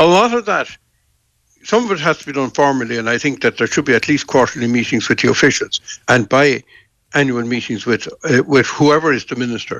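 His pitch sits fairly high, with ordinary pitch variation. The man speaks at a fairly quick pace. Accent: Irish. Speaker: politician, former government minister. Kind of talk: radio interview.

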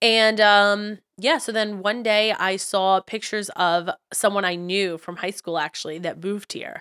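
A woman with an American accent, medium-pitched and bright, sharp in tone, at a fairly slow pace with hardly any pauses and fairly even intonation, in a very clean, dry, close recording with a silent background and no echo. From New York. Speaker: podcast co-host. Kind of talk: casual chat.

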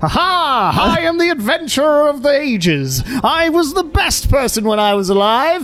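The put-on character voice sits at a high pitch and moves at a moderate pace. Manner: boastful, like an announcer.

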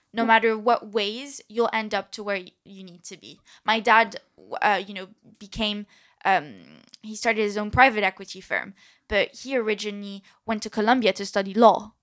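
Against a silent background in a very clean recording, a woman with an American accent speaks at a moderate pace and fairly high pitch, her intonation fairly even but her loudness swinging widely. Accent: French-tinged, slight American twist. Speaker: nutritionist. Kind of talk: casual interview chat.

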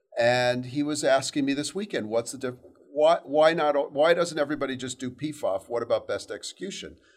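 Moving at a fairly quick pace, a man with a fairly high pitch speaks in a normal speaking voice with fairly even intonation. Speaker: interviewer and company strategist. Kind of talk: podcast interview.

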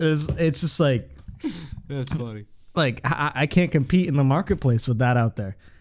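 A man with an unremarkable speaking voice talks at a moderate pace, his pitch fairly high and his pitch variation ordinary. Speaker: podcast guest. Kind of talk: casual chat.

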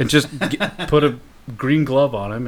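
A man speaks with ordinary pitch variation. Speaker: podcast host. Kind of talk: casual, joking banter.

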